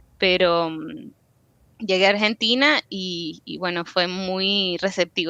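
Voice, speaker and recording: A woman's bright, sharp voice, fairly low in pitch, comes through dry and close with no echo against a quiet background. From Venezuela. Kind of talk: interview.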